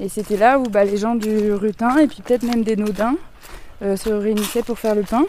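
Over noticeable background noise, a woman with a fairly high voice talks at a moderate pace with fairly even intonation. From southern France, Marseille. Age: 30s. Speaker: sheep farm association member. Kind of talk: interview. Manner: hesitant.

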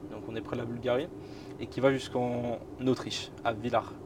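Noticeable background noise surrounds this recording. A man speaks fairly slowly at a medium pitch. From northern France, Boulogne-sur-Mer. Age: 20s. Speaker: YouTuber, train travel creator. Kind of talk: casual interview, travel story. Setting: inside a parked historic train.

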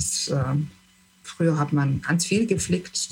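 This woman's voice is very deep and low. It also sounds somewhat breathy. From southern Germany, Lake Constance region. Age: 60s. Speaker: retiree interviewee. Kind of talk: interview. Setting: video call. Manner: halting, many fillers.

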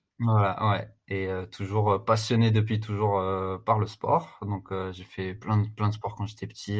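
A man speaks slowly-ish, at a fairly slow pace, in a somewhat breathy, fairly low voice with monotone, flat intonation. The recording is very clean, with a silent background. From France, Strasbourg. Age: 30s. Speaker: fitness coach and agency founder. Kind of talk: casual interview. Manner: hesitant, many fillers and repetitions.

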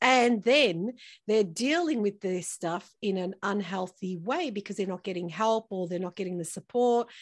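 A plain, everyday voice from a woman, fairly high in pitch, at a moderate pace with ordinary pitch variation, in a very clean recording with a silent background. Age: 50s. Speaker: breast cancer survivor and entrepreneur. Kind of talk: interview testimony.

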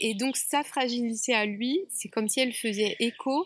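Recorded with a dry, close sound and no echo, a woman speaks with ordinary pitch variation. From Paris suburbs, France. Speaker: Buddhist nun and retreat founder. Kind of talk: interview. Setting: outdoors.

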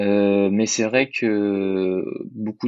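This is a man speaking. His pitch is fairly low. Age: 20s. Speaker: private detective. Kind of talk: interview.

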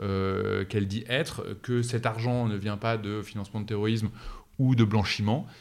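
This man speaks at a moderate pace, his fairly low voice held to fairly even intonation. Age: 30s. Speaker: fintech startup founder. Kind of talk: interview. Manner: hesitant fillers.

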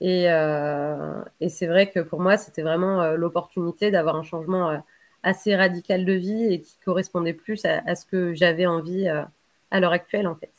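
Speaking at a fairly slow pace, a woman keeps her fairly low voice monotone and flat. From Bordeaux, Gironde, France. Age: 30s. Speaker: interviewee. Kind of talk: interview. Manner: hesitant, many fillers and repetitions.

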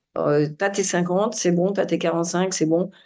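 At a very slow pace, a woman of medium pitch speaks in a dark, mellow tone with fairly even intonation. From France, Grenoble area (Alps). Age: 60s. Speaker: sports physiologist and running coach. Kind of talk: casual interview.

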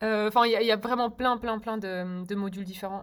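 Monotone, flat intonation at a moderate pace. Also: woman. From Belgium, Brussels. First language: Czech (speaking French). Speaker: polyglot, music student. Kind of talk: interview.

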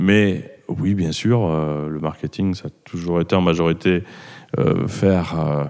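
A man speaks here. His very deep, low pitch moves with ordinary variation. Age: 50s. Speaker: company founder. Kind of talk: interview. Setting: cellar of the company.

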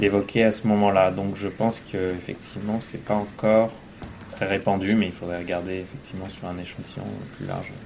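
Audible room echo surrounds a man speaking fairly quickly at a fairly low pitch, monotone and flat, with big swings in loudness. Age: 30s. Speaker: engineer and father. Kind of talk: interview testimony. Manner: halting, many hesitations.

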